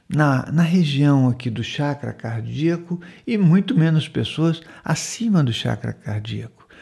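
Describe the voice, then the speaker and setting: Against a quiet background, a man speaks with a fairly high pitch and lively intonation. His voice is somewhat breathy, with a dark, mellow tone. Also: fairly slow pace. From Brazil, Manaus, Amazonas; Amazonas, Brazil. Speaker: spiritual center host. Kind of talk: monologue talk show on spirituality. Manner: conversational, with frequent fillers. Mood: calm, warm, reflective. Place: home room. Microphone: studio mic.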